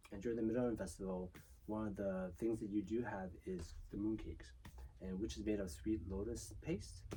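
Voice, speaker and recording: This man talks at a moderate pace with a Chinese accent. His fairly low voice has a dark, mellow tone. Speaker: children's book author and illustrator. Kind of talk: interview. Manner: casual, many filler words.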